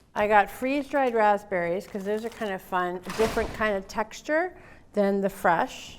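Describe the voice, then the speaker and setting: Heard at a moderate pace, a plain, everyday voice carries ordinary pitch variation. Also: woman, medium pitch for a woman. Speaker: cooking instructor. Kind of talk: live cooking demo. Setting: library workshop with audience.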